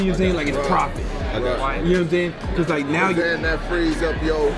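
The man keeps a moderate pace while music runs in the background. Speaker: business coach. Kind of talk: casual conversation with business advice. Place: bar. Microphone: camera far.

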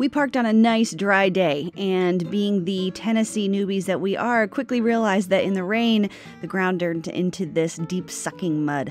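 With music in the background, a woman talks at a moderate pace with hardly any pauses and ordinary pitch variation, in a dry sound with no echo. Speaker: RV travel vlogger. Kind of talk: casual vlog narration.

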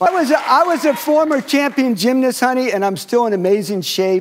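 At a moderate pace, the speaker uses an animated tone and lively intonation. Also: man. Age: 70s. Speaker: former gymnast, game show contestant. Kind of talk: casual chat.

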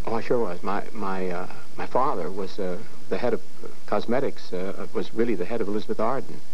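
With light background noise, a man in a normal speaking voice talks at a fairly quick pace, his pitch fairly low with ordinary pitch variation. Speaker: talk show guest, actor. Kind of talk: talk show interview answer. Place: studio. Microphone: lapel.

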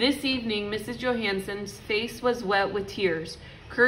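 This is an unforced reading voice. It reads the words as written.

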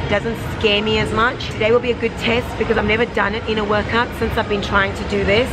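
A woman talks at a very fast pace. Loud noise fills the background. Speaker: fitness vlogger. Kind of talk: casual vlog chat. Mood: playful, self-deprecating. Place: gym. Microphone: phone near.

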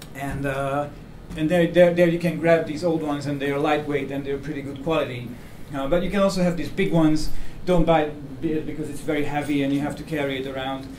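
There is audible room echo and light background noise as a man talks. He moves at a fairly quick pace with fairly even intonation. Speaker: presenter. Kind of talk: lecture. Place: meeting room. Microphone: camera far.

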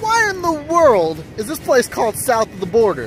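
A man speaks at a fairly slow pace with very wide pitch swings. Music plays behind the dry sound, which has no echo. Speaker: truck driver vlogger. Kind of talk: casual vlog chat. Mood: amused, joking. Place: street. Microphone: phone near.

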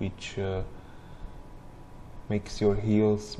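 A man mumbles in a fairly low voice. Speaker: gamer. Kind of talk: gameplay commentary. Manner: mumbling.

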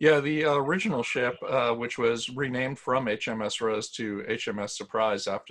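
A man with a plain, everyday voice, a moderate pace and ordinary pitch variation. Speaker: museum historian. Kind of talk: educational webinar presentation. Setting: video call.

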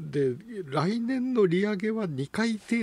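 A man speaks with very wide pitch swings. The sound is dry, with no echo. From Japan, Toyama; Japan. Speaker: economist and news commentator; economist commentator on radio news. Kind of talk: radio news commentary. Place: studio.

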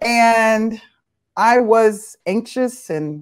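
Against a quiet background, a woman speaks in a warm, enthusiastic tone with ordinary pitch variation. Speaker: panel moderator. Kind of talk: moderated panel discussion. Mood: warm, earnest. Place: home room.

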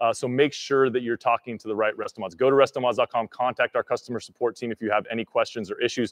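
A man at a very fast pace with monotone, flat intonation, in a quiet background. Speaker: livestream host. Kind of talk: live stream announcement. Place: garage. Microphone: studio mic.

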